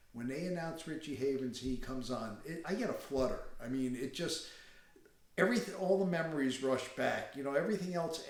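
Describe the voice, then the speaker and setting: Someone with an American accent talks at a fairly quick pace. Room echo is audible. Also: man. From New York State, Catskills. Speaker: Woodstock attendee. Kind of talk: personal reminiscence interview.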